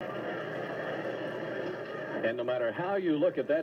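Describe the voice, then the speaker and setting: Noticeable background noise fills the space around a man as he talks. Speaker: radio baseball play-by-play announcer. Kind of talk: live baseball play-by-play.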